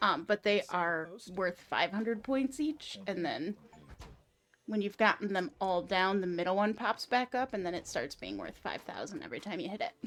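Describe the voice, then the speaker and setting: A quiet woman speaks with lively intonation. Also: medium pitch for a woman, moderate pace. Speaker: pinball streamer. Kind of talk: casual chat on a live game stream. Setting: home game room, live stream.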